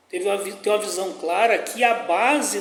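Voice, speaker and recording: A man's high-pitched voice carries through noticeable background noise, with audible echo from the room. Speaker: pastor teaching Bible study. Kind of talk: Bible study lesson.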